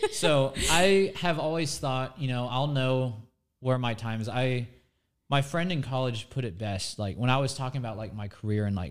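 A man with an American accent and an unremarkable speaking voice talks at a fairly quick pace, with lively intonation and medium pitch, in a very clean recording with a silent background. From Florida, Nature Coast. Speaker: TV meteorologist. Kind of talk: casual chat.

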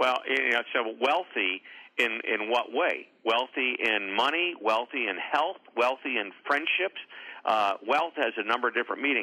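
A man with an American accent speaks at a fairly slow pace in a plain, everyday voice. His medium pitch varies in an ordinary way, with very even loudness. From US Midwest, St. Louis, Missouri. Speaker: author and motivational speaker. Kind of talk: interview.

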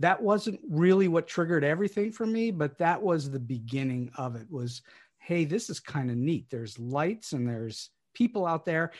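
In an American accent, a man with a fairly high voice talks at a moderate pace, his pitch swinging very widely against a quiet background. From Pittsburgh, US. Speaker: playwright and screenwriter. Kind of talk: interview conversation. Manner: halting with fillers.

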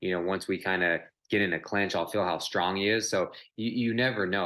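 Over a silent background on a very clean recording, a man speaks at a fairly quick pace. His voice is fairly low in pitch with a bright, sharp tone and ordinary pitch variation. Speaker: professional MMA fighter. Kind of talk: interview. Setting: recorded interview.

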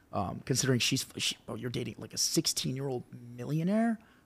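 Over a silent background in a very clean recording, a man with an American accent talks at a fairly quick pace in a medium pitch, in an unremarkable speaking voice. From North Carolina. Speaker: social media cooking creator. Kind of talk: casual chat.

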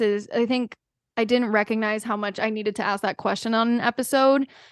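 A woman's fairly high voice at a fairly quick pace, over a quiet background. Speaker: podcast host. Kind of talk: casual interview chat.

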